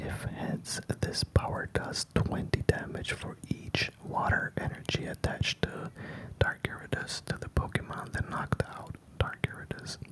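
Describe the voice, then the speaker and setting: A man whispers at a fairly slow pace. Noticeable background noise runs underneath. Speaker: ASMR creator. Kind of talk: ASMR card show-and-tell. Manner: whispered.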